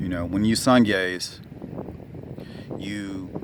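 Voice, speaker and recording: There's noticeable background noise and audible room echo. A man talks at a fairly low pitch with ordinary pitch variation. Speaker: wellness vlogger. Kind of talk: casual vlog talk. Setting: outdoors in the sun. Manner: hesitant, many fillers and restarts.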